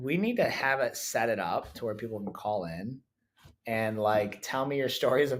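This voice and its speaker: A man's bright, sharp tone at a moderate pace, in a very clean recording with a silent background. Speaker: jiu-jitsu coach. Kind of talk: casual chat. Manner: loud; halting, many restarts.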